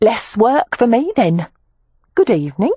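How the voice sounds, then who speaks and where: In a put-on character voice, a female-sounding speaker cackles at a moderate pace, her fairly high pitch making very wide swings. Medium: read story. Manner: cackling, taunting.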